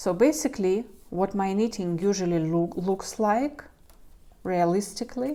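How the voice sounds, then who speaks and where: With a non-native accent, a woman speaks in a dark, mellow tone. Her pitch is medium, with ordinary variation. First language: not English. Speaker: knitting youtuber. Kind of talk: tutorial. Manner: halting.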